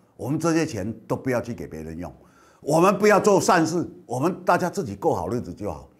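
A man talks at a fairly quick pace with vocal fry and very wide pitch swings. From Kinmen, Taiwan; Taiwan. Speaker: political commentator and show host; political commentator, show host. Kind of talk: news commentary monologue. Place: studio. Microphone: lapel.

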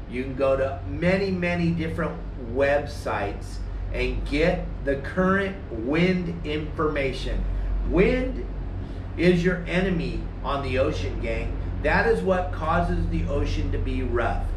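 The man speaks fairly slowly, with noticeable background noise around him. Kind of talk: tutorial. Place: street. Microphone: camera far.

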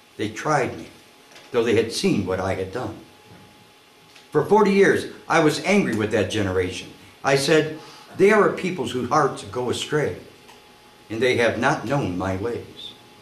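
With audible room echo, a man talks at a moderate pace broken by long, frequent pauses. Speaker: pastor reading scripture. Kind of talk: scripture reading.

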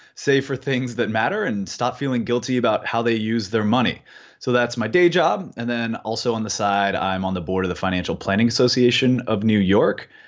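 A man talking at a fairly quick pace with hardly any pauses, ordinary pitch variation and a quiet background. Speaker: remote podcast guest. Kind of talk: interview answer. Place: home room. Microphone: earbuds.

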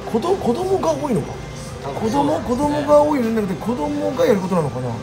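A man speaking at a moderate pace over clear music in the background. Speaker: vlogger. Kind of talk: casual vlog chat. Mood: cheerful, playful. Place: shop. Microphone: phone near.

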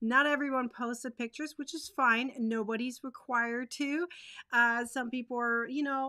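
Against a quiet background, a woman speaks at a moderate pace in a high pitch, her bright, sharp tone held to a monotone, flat intonation. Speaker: crochet teacher host. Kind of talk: casual livestream chat. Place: home room.

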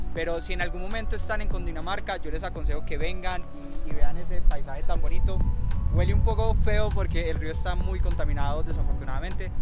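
A man with a Colombian accent at a very fast pace, dry sound with no echo, loud music in the background. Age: 20s. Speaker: university student; vlogger. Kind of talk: casual talk to camera. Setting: outdoors. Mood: warm, nostalgic, cheerful.

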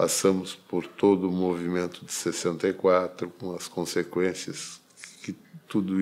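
A man's very deep, low voice at a very slow pace, monotone and flat in intonation. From Rio Grande do Sul, Brazil (Caxias do Sul); Rio Grande do Sul, Brazil. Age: 70s. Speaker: retired federal appellate judge. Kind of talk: oral history interview. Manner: formal. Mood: calm, reflective. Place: office.

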